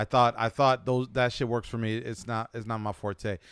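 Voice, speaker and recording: In a very clean recording with a silent background, a man with an American accent talks in an unremarkable speaking voice at medium pitch with fairly even intonation. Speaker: podcast host. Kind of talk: casual chat.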